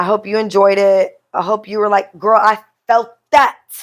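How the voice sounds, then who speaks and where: At a very slow pace, a woman speaks with a fairly high pitch and monotone, flat intonation. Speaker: podcast host. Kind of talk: casual chat.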